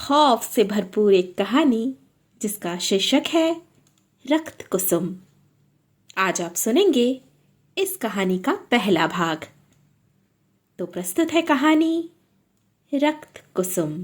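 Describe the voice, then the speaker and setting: Breathy to some degree, a woman's voice makes very wide pitch swings, with long, frequent pauses. The recording is very clean, with a silent background. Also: fairly high pitch for a woman. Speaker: storyteller and writer. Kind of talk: channel intro to a story.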